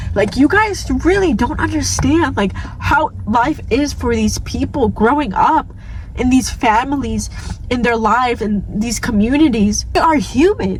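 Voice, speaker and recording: A woman with an American accent talks at a fairly slow pace amid noticeable background noise. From New York City (Staten Island). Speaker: vlogger. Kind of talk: rant. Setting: in a car. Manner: animated.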